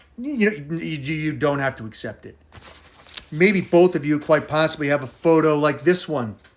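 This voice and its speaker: Speaking with an animated tone, a man with a fairly high pitch swings widely in loudness over noticeable background noise. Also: ordinary pitch variation, moderate pace. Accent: American. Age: 40s. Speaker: personalized video message maker. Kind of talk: personal birthday video message.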